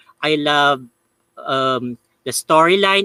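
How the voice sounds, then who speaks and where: A man with a Filipino accent. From Philippines. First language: Tagalog. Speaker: YouTuber, paranormal channel host. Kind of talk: live review. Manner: halting, many fillers.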